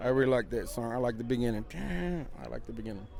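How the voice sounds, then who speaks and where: With an American accent, a man speaks with lively intonation over noticeable background noise. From Texas, El Paso. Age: 40s. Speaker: concert fan. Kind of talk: vox pop interview. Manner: halting, repetitive.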